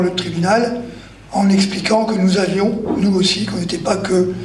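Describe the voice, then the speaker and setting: Over noticeable background noise and audible room echo, a man speaks at a fairly slow pace in a high pitch with monotone, flat intonation. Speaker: activist, anti-glyphosate campaigner. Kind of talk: panel discussion.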